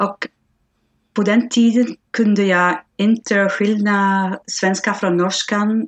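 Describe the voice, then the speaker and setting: Over a dry, close sound with no echo, a woman talks at a very slow pace with fairly even intonation and very even loudness. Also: medium pitch for a woman. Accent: Flemish. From Belgium (Flanders). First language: Flemish Dutch (speaking Swedish). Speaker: language learner. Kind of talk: interview. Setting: video call. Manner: halting.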